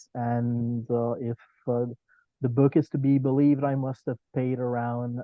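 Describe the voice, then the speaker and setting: A man with a French Canadian accent talks at a fairly slow pace, his medium pitch held in a monotone, flat intonation. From Quebec, Canada. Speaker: podcast guest, comics fan. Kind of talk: casual chat. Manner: hesitant, many filler words.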